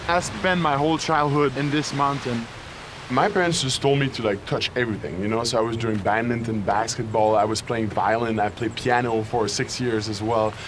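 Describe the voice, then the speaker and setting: Moderate pace and ordinary pitch variation, with noticeable background noise. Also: man, medium pitch for a man. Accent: French Canadian. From Quebec, near Montreal. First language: French. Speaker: football player and medical student. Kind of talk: interview.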